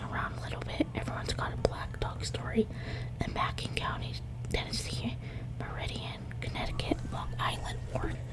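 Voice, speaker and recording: Over noticeable background noise, the speaker whispers at a moderate pace. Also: woman. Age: 20s. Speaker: ASMR creator. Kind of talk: ASMR reading of a fictional journal, whispered. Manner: soft, whispered.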